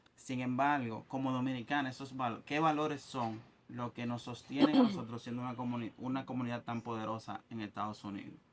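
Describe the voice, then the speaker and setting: Against noticeable background noise, a man speaks at a fairly quick pace and a medium pitch, with fairly even intonation and hardly any pauses. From Dominican Republic. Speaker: podcast host. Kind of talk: casual interview chat.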